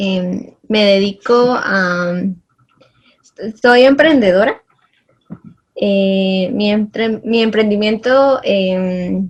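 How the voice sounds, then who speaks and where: Speaking at a very slow pace, a woman leaves long, frequent pauses. Her pitch is medium and its variation ordinary. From Guatemala, Chimaltenango. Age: 20s. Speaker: entrepreneur and student. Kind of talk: interview.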